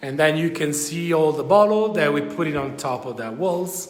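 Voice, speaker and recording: Against noticeable background noise, a man with an Italian accent speaks at a fairly high pitch. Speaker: winery guide. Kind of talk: live virtual tour. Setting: winery cellar, live video stream. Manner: casual, hesitant. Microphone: echo in cellar.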